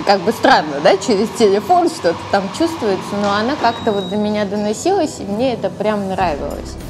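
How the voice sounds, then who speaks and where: A woman talks at a moderate pace with hardly any pauses, her medium pitch making very wide swings. Audible room echo and noticeable background noise surround her voice. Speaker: lingerie shop consultant. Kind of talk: interview. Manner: clear diction.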